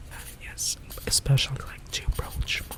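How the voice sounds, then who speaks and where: Someone whispers over noticeable background noise. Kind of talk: ASMR whisper session about books. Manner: whispered, soft.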